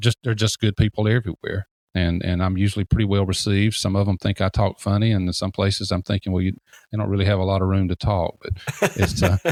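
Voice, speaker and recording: A man in a Southern accent, very fast and monotone with flat intonation, on a very clean recording with a silent background and a dry, close sound with no echo. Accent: fairly southern. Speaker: deck builder and industry consultant. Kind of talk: interview.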